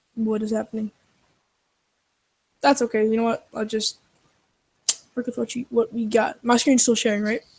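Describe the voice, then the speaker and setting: Somewhat breathy and fairly high, a woman's voice holds fairly even intonation with long, frequent pauses. The sound is dry and close, with no echo. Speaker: programmer co-host. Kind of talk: coding tutorial. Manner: fast.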